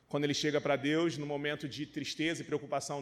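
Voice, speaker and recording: A man with a fairly high voice speaks on a very clean recording against a silent background. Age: 30s. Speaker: pastor. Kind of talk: sermon. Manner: animated.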